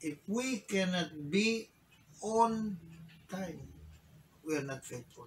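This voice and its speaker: Light background noise sits behind a man with a high voice. He talks at a very slow pace. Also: lively intonation. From Philippines. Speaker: bishop and preacher. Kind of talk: sermon in Taglish; rousing sermon, rhetorical questions to congregation. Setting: church. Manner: emphatic, repeating phrases for emphasis; urgent, exhorting, pleading. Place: office.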